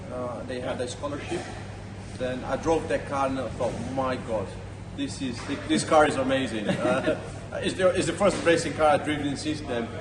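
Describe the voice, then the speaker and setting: Over noticeable background noise and audible room echo, a man talks at medium pitch and a moderate pace, with ordinary pitch variation and long, frequent pauses. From Brazil. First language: Portuguese. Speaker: amateur racing driver and channel host. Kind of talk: casual interview chat. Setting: at a race track. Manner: halting, many fillers and repetitions.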